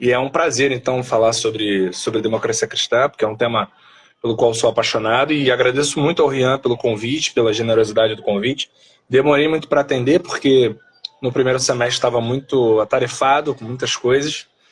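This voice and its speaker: This man has an ordinary speaking voice at medium pitch, talking at a fairly quick pace with fairly even intonation. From Brazil, Rio de Janeiro. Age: 30s. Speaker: philosopher and political movement leader. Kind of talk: live stream interview.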